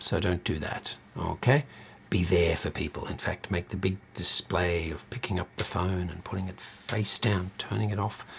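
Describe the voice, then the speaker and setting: Somewhat breathy, a man speaks at a moderate pace with a very deep, low pitch and ordinary pitch variation. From Australia. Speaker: university lecturer. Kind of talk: lecture. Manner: many filler sounds (um, uh).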